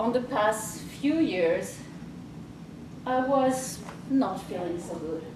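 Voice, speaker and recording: A woman speaks at a fairly high pitch, her voice swinging very widely up and down. Noticeable background noise and audible room echo are present. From France. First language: French. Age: 40s. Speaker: life coach. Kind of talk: presentation.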